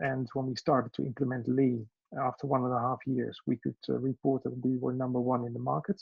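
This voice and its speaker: With a Dutch accent, a man speaks at a fairly quick pace and medium pitch, keeping his intonation fairly even. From Netherlands. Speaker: education business owner. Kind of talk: self-introduction in online meeting. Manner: halting, many fillers.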